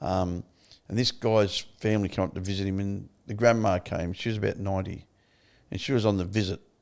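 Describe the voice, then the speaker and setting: In an Australian accent, a man talks at a fairly quick pace with a fairly low pitch and monotone, flat intonation. The recording is very clean, with a silent background. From Victoria, Australia. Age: 70s. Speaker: recovery advocate and author. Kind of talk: interview testimony.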